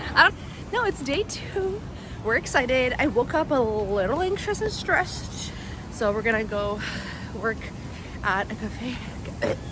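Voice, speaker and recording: Over noticeable background noise, a woman speaks at a fairly slow pace in a high pitch, her voice making very wide pitch swings and leaving long, frequent pauses. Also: dry sound with no echo. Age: 20s. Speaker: vlogger. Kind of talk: casual vlog talk. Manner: animated. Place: street. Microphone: phone near.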